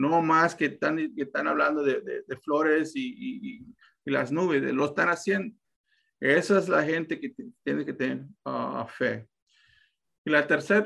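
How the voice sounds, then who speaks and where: A man with a fairly high pitch speaks at a fairly slow pace with lively intonation, long, frequent pauses, vocal fry and a bright, sharp tone. The recording is very clean with a silent background. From Texas, US. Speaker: real estate investor. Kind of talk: podcast interview. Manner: halting.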